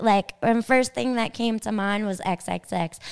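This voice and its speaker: In a Long Island accent, a woman speaks at a fairly high pitch with an animated tone. She keeps a fairly slow pace. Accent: New York (Long Island). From Long Island, New York. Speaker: podcast host and DJ. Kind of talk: interview.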